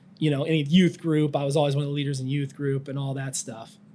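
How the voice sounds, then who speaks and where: This is a man with an American accent and an unremarkable speaking voice. His pitch is fairly high and his intonation fairly even. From central Iowa, US Midwest. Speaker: churchgoer. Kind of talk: interview.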